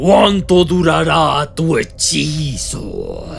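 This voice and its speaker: A man does a growling, put-on character voice at a very slow pace over clear background noise. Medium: read story.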